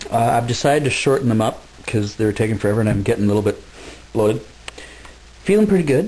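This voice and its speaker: A very fast-talking man at medium pitch amid noticeable background noise. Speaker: video blogger. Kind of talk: casual vlog monologue. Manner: hesitant, many fillers.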